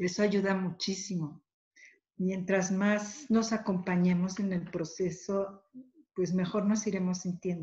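Over a quiet background, a woman speaks fairly slowly at medium pitch, somewhat breathy and dark and mellow in tone, with fairly even intonation. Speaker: thanatologist and grief therapist; panelist. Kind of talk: webinar talk. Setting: video call. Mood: warm, supportive. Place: home room. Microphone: dropped connection; webcam.

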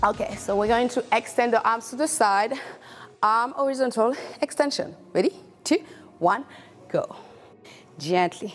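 Lively intonation rises and falls at a moderate pace, broken by long, frequent pauses, with light background noise. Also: woman, high pitch for a woman. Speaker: fitness instructor. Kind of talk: workout coaching. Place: studio.

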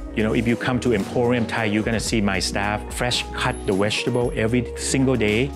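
Over clear music in the background, a man speaks at a moderate pace with a fairly low pitch. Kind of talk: interview answer. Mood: warm, proud storytelling. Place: cafe. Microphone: lapel.

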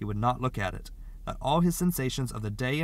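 This is someone reading aloud in a natural voice, with lively intonation.

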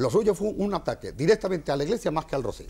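Speaking at a very fast pace, a man makes very wide pitch swings in a dark, mellow tone with vocal fry. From Almonte, Andalusia, Spain. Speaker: brotherhood president. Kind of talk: heated debate.

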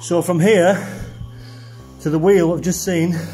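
Faint music plays in the background. A man speaks at a high pitch and a fairly slow pace. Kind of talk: commentary. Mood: concerned, warning. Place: tunnel cave. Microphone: phone near.

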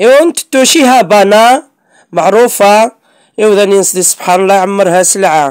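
At a fairly slow pace, a woman with a normal speaking voice talks at a medium pitch with ordinary pitch variation, the sound dry and close with no echo. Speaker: YouTuber. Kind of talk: casual vlog. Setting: outdoors.

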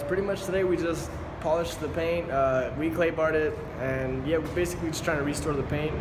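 A man's speech moves at a fairly quick pace. Behind him, background noise is noticeable. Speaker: car owner vlogger. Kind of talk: casual vlog chat. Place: street. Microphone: phone near.

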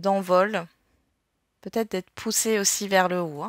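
The woman's voice is monotone and flat, with a dry, close sound and no echo. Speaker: tarot and astrology guidance youtuber. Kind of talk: card reading guidance monologue. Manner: casual with many fillers.

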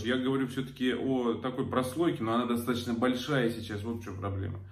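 A man speaks in a medium pitch. His pace is fairly quick.

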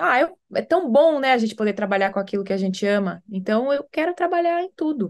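The pitch swings very widely at a fairly quick pace, with hardly any pauses. The background is quiet. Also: woman, fairly high pitch for a woman. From Brazil. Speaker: actress. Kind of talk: interview. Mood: warm, reflective. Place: home room. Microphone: video call.

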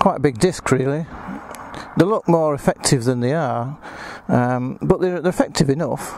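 Set against a quiet background, the voice moves at a moderate pace with ordinary pitch variation. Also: man, dry sound with no echo. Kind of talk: casual walkaround commentary. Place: street. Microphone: phone near.

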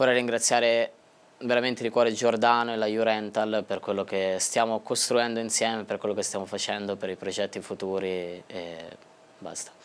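The man's pitch is fairly low and his intonation flat and monotone. He keeps a moderate pace. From Tuscany. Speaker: racing driver; guest. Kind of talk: interview. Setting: studio. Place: studio. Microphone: lapel.

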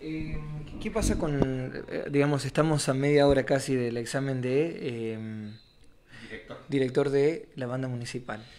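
Over faint music in the background, a man with an Argentine accent speaks at a fairly slow pace with ordinary pitch variation and long, frequent pauses. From Argentina. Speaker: radio interviewer. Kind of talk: radio interview. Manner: halting. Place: office.

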